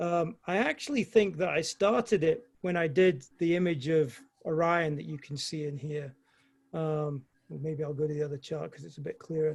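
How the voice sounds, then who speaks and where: A man's fairly high voice at a moderate pace, ordinary pitch variation, big swings in loudness. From Scotland. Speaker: amateur astrophotographer presenter. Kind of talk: Q&A answer in online talk. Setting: video call.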